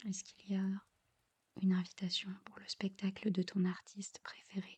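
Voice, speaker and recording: The voice is soft-spoken. The pace is moderate. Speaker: ASMR creator. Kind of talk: ASMR guided visualization.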